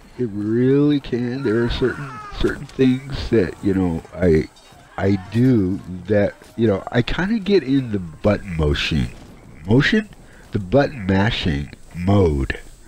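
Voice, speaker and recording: Lively intonation from a man at medium pitch, a fairly slow pace, and noticeable background noise. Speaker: gaming YouTuber. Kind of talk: gameplay commentary voiceover. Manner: halting, many fillers and repeats.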